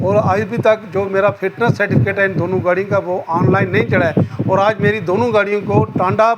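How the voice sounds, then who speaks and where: A man speaks high for his sex, with ordinary pitch variation and noticeable background noise behind him. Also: moderate pace, hardly any pauses. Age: old. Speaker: retired senior citizen, vehicle owner. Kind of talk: press conference statement.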